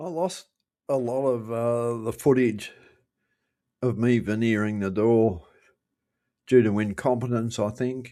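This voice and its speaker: A man speaks with a dark, mellow tone at medium pitch and ordinary pitch variation. His pace is fairly slow with long, frequent pauses, on a very clean recording with a silent background. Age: 70s. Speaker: retired builder. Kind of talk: casual voice-over narration of a restoration project.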